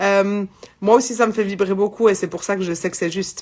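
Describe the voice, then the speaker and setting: A woman with a medium-pitched voice talks against a quiet background. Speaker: psychic medium. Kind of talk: live spiritual guidance. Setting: livestream. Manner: loud; halting.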